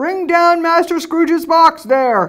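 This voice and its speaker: An extremely high-pitched, put-on character voice. It moves at a fairly slow pace. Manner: harsh, commanding.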